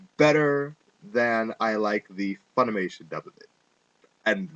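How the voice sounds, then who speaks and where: The speaker talks at a very slow pace with lively intonation. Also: man. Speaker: anime reviewer. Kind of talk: casual rant to webcam.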